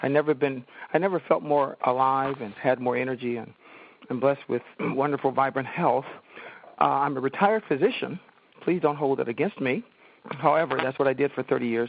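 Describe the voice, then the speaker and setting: A man with a normal speaking voice and an American accent, medium in pitch with ordinary pitch variation, at a fairly quick pace. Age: 60s. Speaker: retired physician. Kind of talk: call-in comment.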